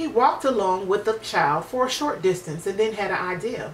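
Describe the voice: A woman at a moderate pace and medium pitch, with lively intonation over faint background noise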